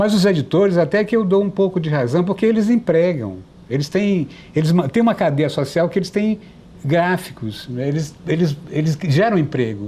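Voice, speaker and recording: At a moderate pace, a man speaks with a high pitch, a dark, mellow tone, lively intonation and very even loudness. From Brazil, Piauí (Teresina). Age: 60s. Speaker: writer and journalist. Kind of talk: TV interview.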